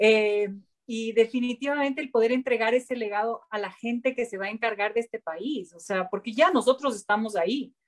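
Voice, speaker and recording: A woman speaks at a moderate pace in an unremarkable speaking voice. Her pitch is fairly high, with ordinary pitch variation. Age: 50s. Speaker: politician. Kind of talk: panel discussion.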